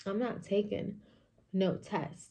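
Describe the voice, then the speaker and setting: Soft-spoken and somewhat breathy, a woman has a dark, mellow tone. Her intonation stays fairly even. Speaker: vlogger. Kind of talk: casual chat. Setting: at home in kitchen.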